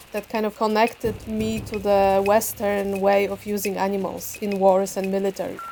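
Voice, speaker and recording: Her voice is medium in pitch with a dark, mellow tone, a woman speaking with a Polish accent. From Poland. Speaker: visual artist and photographer. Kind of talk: interview about own work.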